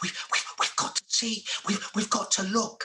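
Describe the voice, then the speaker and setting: At a moderate pace, a man uses a put-on character voice pitched high. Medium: read story. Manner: stammering.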